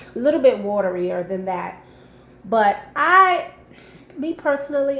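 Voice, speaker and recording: A woman is speaking. Room echo is audible. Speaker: lifestyle vlogger. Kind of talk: recipe tutorial. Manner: casual, hesitant with many ums.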